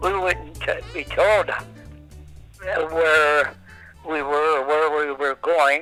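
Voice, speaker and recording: A man's fairly high voice at a very slow pace, broken by long, frequent pauses, with music in the background. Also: fairly even intonation. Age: 80s+. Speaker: Second World War navy veteran. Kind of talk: interview answer. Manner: hesitant, halting.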